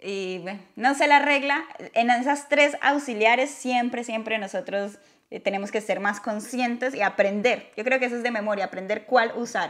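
At a moderate pace, the speaker talks with ordinary pitch variation against a quiet background. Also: woman, fairly high pitch for a woman. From Latin America. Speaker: YouTuber teaching English. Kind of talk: casual chat. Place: home room. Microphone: lapel.

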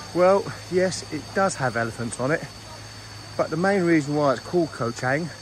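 Speech comes at a fairly quick pace, dry with no echo, over noticeable background noise. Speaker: travel vlogger. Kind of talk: casual vlog chat. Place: forest. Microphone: phone near.

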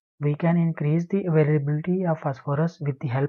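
A man with a fairly high pitch talks in a somewhat breathy voice with fairly even intonation. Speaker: PhD student. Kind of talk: conference presentation. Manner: fast.

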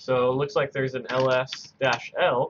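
Light background noise runs beneath a man's speech. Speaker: coding tutor. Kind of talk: tutorial. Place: home room.

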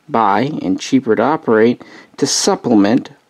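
A man speaks at a moderate speed, and the background stays quiet. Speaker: hobbyist model reviewer. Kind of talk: casual review commentary. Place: home room. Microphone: phone near.

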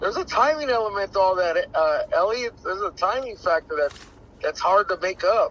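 Lively intonation marks this high-pitched male voice. The sound is dry with no echo, over light background noise. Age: 40s. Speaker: boxing trainer. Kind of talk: interview. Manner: halting. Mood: relaxed, animated. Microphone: phone near.

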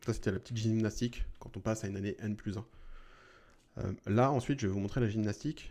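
A man talks at a very fast pace with a fairly low pitch and a dark, mellow tone. His speech has long, frequent pauses. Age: 40s. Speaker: YouTuber on personal investing; investing tutorial creator. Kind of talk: tutorial. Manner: casual, with frequent hesitations.

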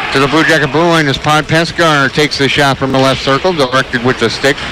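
Against noticeable background noise, a man talks at a very fast pace, the sound dry with no echo. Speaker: radio play-by-play announcer. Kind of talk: live hockey play-by-play commentary. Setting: arena broadcast for radio. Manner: rapid-fire, fluent, clipped play description. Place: stadium.

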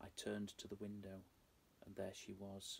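Over light background noise, a man talks at a fairly slow pace in a somewhat breathy voice with a fairly low pitch. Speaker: storyteller. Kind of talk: dramatic story reading. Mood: dark, hushed, suspenseful. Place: home room.

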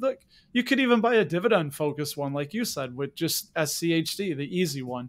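Very wide swings in pitch from a man speaking at a moderate speed. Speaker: podcast host. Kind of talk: casual interview.

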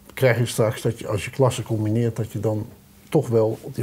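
A man speaks at a medium pitch with a somewhat breathy voice. His pace is moderate and his intonation fairly even. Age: middle-aged. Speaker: local TV talk show host. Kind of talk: casual interview; scripted show outro. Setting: studio. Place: studio.

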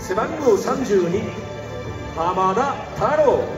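Clear music plays in the background, and the room echo is audible. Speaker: stadium announcer. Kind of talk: stadium starting lineup announcement. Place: stadium. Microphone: pa.

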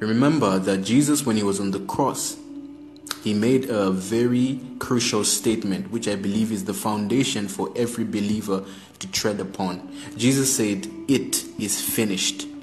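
Over clear music in the background, a man with a fairly low pitch talks at a moderate pace with ordinary pitch variation. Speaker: preacher on a live stream. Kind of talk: sermon. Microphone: phone near.

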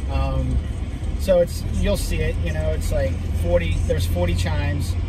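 Loud background noise runs under this recording. A man speaks at a moderate pace. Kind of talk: casual conversation. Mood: warm, reverent. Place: car. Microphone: phone near.

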